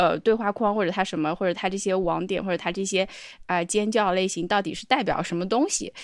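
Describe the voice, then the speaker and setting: In a very clean recording with a silent background, a woman of medium pitch talks very fast with fairly even intonation. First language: non-English (speaking Chinese). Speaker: podcast co-host. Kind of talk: casual chat.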